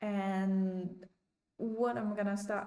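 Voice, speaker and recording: Speaking at a medium pitch, a woman talks with a non-native accent. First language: not English. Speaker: chess learner streamer. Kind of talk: casual learning vlog. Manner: hesitant, many ums.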